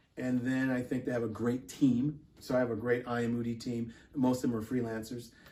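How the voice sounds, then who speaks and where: A man with an American accent speaks in a medium-pitched voice. His tone is dark and mellow. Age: 60s. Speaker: fashion show producer and model. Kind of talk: interview.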